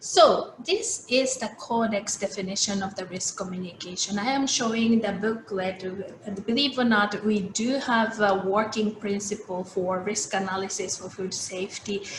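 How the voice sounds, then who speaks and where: Amid noticeable background noise and audible room echo, a woman with a Japanese accent speaks at a moderate pace and a medium pitch with fairly even intonation. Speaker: food safety expert. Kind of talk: keynote lecture. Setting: video call. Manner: halting.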